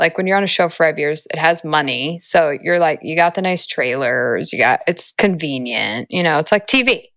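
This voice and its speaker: A woman's fairly low voice with lively intonation at a moderate pace. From Los Angeles, US. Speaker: actress. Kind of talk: interview. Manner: halting.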